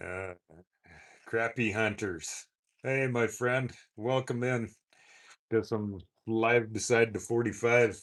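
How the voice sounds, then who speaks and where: Against a quiet background, a man with a Canadian prairie accent speaks very slowly at a medium pitch, with fairly even intonation and long, frequent pauses. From Saskatchewan, Canada. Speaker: motorcycle vlogger. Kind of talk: live stream chat. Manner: halting.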